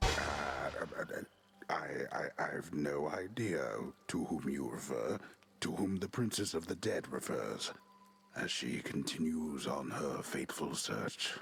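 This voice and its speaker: A man puts on a character voice with a very deep, low pitch and a fairly slow pace. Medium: video game.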